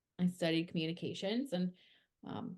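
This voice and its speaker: This woman has a fairly low voice with a dark, mellow tone. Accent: strong Minnesotan. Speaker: podcast co-host, PR worker in music. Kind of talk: casual chat.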